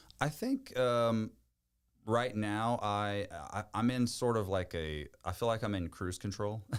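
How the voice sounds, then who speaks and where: Speaking at a fairly slow pace, a man with a Louisiana accent has a fairly low pitch. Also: ordinary pitch variation. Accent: Southern US, Louisiana. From Louisiana, Bayou Chicot. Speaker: country music singer. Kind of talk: podcast interview answer.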